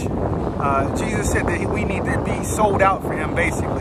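A man speaks at a fairly slow pace. Loud background noise fills the recording. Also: dry sound with no echo. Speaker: kayak fishing vlogger. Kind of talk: casual vlog chat, devotional talk. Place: boat. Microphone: phone near.

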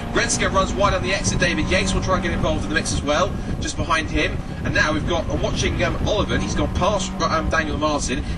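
Over noticeable background noise, a man talks at a very fast pace. He sounds animated and excited. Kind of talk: race commentary. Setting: motor racing circuit commentary box. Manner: fast, animated play-by-play, excited and urgent, rattling off names and positions; self-correcting, stumbling over car numbers.

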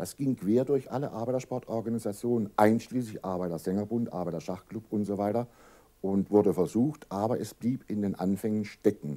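Here a man talks at a moderate pace, fairly low in pitch with ordinary pitch variation. His tone is serious, dark and mellow. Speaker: association official, interviewee. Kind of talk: formal interview answers. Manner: formal, serious, explanatory.

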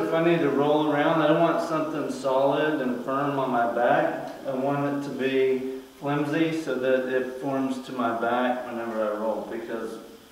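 A man speaks at a fairly slow pace. Audible room echo surrounds the voice. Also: ordinary pitch variation. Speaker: martial arts instructor. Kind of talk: tutorial. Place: garage.

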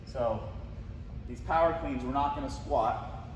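Speaking at a fairly slow pace, a man is heard over noticeable background noise with audible room echo. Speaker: fitness coach. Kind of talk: tutorial. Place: gym. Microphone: camera far.

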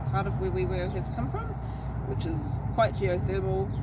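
A woman speaks over loud background noise. The sound is dry with no echo. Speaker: travel vlogger. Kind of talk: casual vlog chat, telling a legend. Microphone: phone near.

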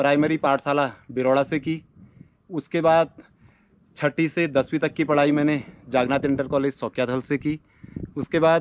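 Fairly slow and with long, frequent pauses, a man speaks at a fairly high pitch in a monotone, flat intonation, the sound dry with no echo. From Uttarakhand, Almora district (Kumaon hills); Uttarakhand, India. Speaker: YouTuber. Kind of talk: self-introduction to camera. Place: open country. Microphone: phone near.

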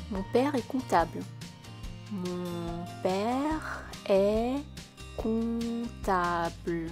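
Music plays behind a woman speaking with a Parisian accent. She talks at a very slow pace with long, frequent pauses. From Paris, France. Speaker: French teacher. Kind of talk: language lesson dialogue read. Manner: slow, clear repetition.

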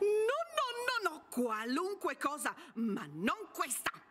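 This put-on character voice is extremely high in pitch, with very wide pitch swings. It moves at a very slow pace. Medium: stage. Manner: bossy, shouting.

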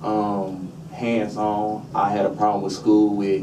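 Noticeable background noise accompanies a man speaking at a fairly low pitch. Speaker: witness. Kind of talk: public testimony, personal story. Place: meeting room.

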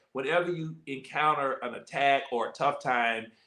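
The tone is bright and sharp with ordinary pitch variation, set in a quiet background with audible room echo. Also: man. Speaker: host, pastor. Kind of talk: interview host talk. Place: home room. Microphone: video call.

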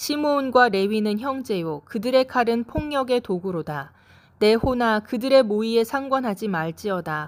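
A woman with a fairly high pitch and an unremarkable speaking voice uses lively intonation on a very clean recording with a silent background. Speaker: scripture reader. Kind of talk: scripture reading aloud, Genesis read in a steady devotional tone. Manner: slow, measured, calm; solemn, formal, even cadence.

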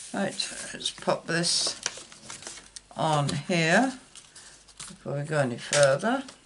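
A woman with an English accent speaks at a very slow pace, with very wide pitch swings, long, frequent pauses, and noticeable background noise. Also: fairly low pitch for a woman. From UK. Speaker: card-making YouTuber. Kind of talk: crafting tutorial. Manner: casual, hesitant with fillers.

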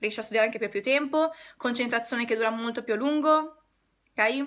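A woman's fairly high, bright, sharp voice, animated in tone with ordinary pitch variation, at a fairly quick pace over a quiet background. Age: 20s. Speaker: decluttering consultant. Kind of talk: live stream talk to viewers. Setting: online live stream. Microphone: phone near.

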